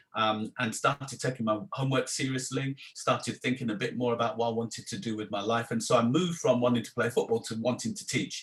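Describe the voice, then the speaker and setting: A man's very fast, somewhat breathy voice at medium pitch, with ordinary pitch variation and hardly any pauses. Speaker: theology professor. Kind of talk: interview.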